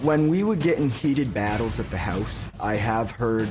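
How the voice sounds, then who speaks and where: Over background music, the speaker moves at a moderate pace with lively intonation. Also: man. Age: 20s. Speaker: family member on talk show, son. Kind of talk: taped interview segment.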